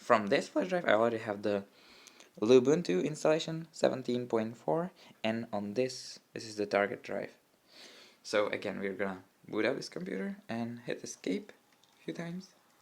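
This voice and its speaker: A man with a Czech accent, medium pitch, lively intonation and big swings in loudness. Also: moderate pace. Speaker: tech YouTuber. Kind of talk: tutorial. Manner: halting.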